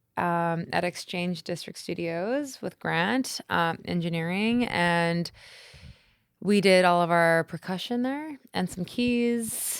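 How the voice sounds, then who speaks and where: On a very clean recording with a silent background, a woman with a Canadian accent talks at a very slow pace and a fairly low pitch, with ordinary pitch variation. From Canada, Manitoba (Gimli). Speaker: indie band musician. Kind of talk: casual interview chat. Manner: loud.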